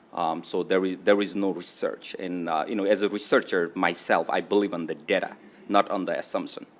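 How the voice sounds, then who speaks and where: In a non-native accent, a man speaks fairly quickly in a fairly low, monotone, flat voice. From immigrant to US. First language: not English. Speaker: state delegate presenting bill. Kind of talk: legislative testimony. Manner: halting, many fillers.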